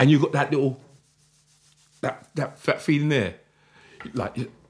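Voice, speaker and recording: A man with a South London accent speaks at a moderate pace and a fairly high pitch. His intonation is lively, with vocal fry. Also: long, frequent pauses. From South London, Croydon. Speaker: jungle MC and author. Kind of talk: interview.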